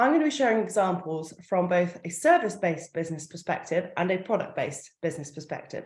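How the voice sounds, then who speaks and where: Very wide swings mark the pitch. The voice belongs to a woman. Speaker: marketing coach. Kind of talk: online workshop. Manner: fast.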